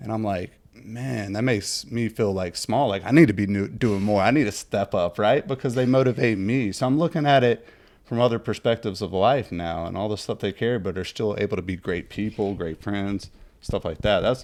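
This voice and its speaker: A man with a plain, everyday voice speaks fairly quickly at a fairly low pitch, using ordinary pitch variation. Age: 30s. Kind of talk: casual chat. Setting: podcast.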